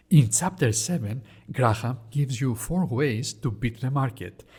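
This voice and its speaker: Somewhat breathy, a man speaks with a Greek accent at a moderate pace and with lively intonation. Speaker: investing educator. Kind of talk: educational explainer.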